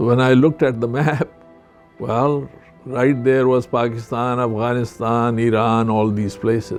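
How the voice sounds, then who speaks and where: Music plays in the background as a man at a medium pitch speaks at a fairly slow pace with fairly even intonation. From Pakistan, border area with Afghanistan. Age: 70s. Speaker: retired surgeon. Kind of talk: interview answer.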